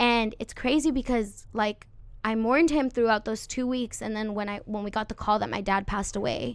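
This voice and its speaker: The speaker has an American accent and fairly even intonation. Music plays in the background. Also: woman. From California, Santa Maria area. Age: 20s. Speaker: musician. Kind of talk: casual chat.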